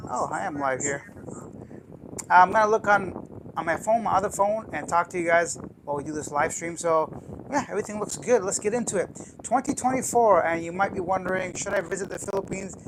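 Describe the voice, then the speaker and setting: A man with a high pitch and ordinary pitch variation talks at a fairly quick pace against noticeable background noise. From Canada. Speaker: travel YouTuber. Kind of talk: live stream chat. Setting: live stream from apartment. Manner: casual.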